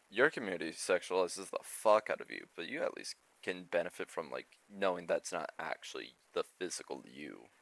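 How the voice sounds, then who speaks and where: A man at a moderate pace with hardly any pauses and big swings in loudness, in a dry, close sound with no echo. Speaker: streamer and podcast co-host. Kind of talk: casual chat. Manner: relaxed.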